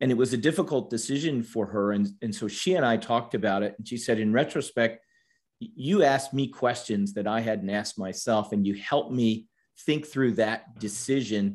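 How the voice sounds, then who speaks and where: A man with an American accent at medium pitch, moderate pace and ordinary pitch variation. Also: very clean recording, silent background. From US East Coast, Washington, D.C. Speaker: supply chain consultant. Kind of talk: interview.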